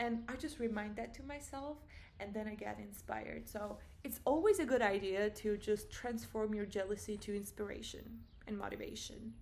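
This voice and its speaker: Noticeable background noise and audible room echo fill the recording. The delivery keeps a moderate pace. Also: woman. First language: not English. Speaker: vlogger. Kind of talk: personal vlog monologue. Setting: at home. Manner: casual, halting with self-corrections.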